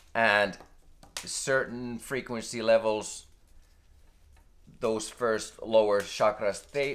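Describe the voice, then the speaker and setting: A man with a non-native accent talks very slowly at a medium pitch, with ordinary pitch variation. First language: not English. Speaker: spiritual video creator. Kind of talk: unscripted spiritual monologue. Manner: halting, many fillers and restarts.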